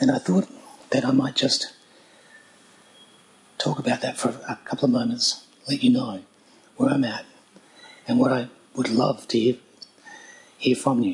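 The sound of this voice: Using a put-on character voice, a man speaks hoarsely at medium pitch and a moderate pace, with long, frequent pauses.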